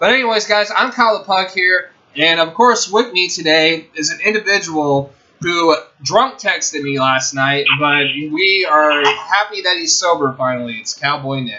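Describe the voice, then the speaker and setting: Man with a high pitch and lively intonation, moderate pace, noticeable background noise. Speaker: sports show host. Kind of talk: casual sports talk show. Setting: online video show.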